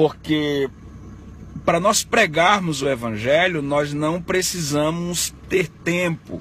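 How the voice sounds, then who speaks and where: Light background noise sits behind the speech, which has a dry sound with no echo. The pace is very slow. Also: man, ordinary pitch variation. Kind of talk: casual religious vlog talk. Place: car. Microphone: phone near.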